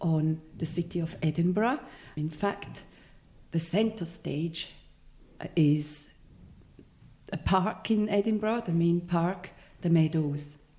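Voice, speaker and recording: In a Swiss German accent, a woman speaks very slowly in a fairly low pitch with a dark, mellow tone, a somewhat breathy quality and ordinary pitch variation. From Switzerland. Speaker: novelist. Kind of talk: interview.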